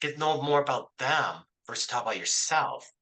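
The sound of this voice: A man at a fairly quick pace with a bright, sharp tone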